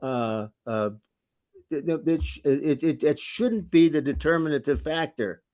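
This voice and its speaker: With an American accent, a man talks at a moderate pace in a dark, mellow tone, his fairly high pitch swinging very widely. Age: 80s+. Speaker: former prosecutor, defense attorney. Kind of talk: interview conversation. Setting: webinar video call. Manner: halting, many repetitions.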